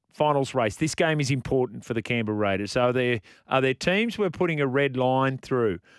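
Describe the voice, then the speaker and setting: Lively in intonation and very even in loudness, a man with an Australian accent speaks at a medium pitch on a very clean recording with a silent background. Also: fairly quick pace. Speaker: sports radio host. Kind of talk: live sports radio chat.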